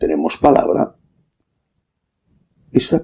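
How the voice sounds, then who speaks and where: A man speaking at a very slow pace. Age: 60s. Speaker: priest. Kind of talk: sermon.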